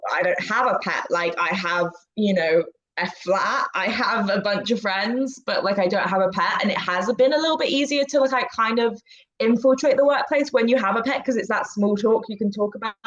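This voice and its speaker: In an English accent, a woman speaks at a moderate pace with a fairly high pitch and lively intonation. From England. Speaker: immigration paralegal. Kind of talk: casual chat.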